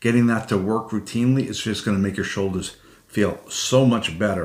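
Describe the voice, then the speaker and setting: Speaking at a fairly quick pace, a man has an ordinary speaking voice pitched fairly low. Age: 60s. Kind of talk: instructional talk to camera. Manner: conversational, explanatory, with filler words.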